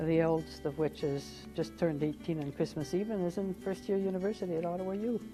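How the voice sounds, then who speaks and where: This woman keeps a moderate speed while background music plays. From Canada. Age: 60s. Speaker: retired government administrator. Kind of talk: interview answer.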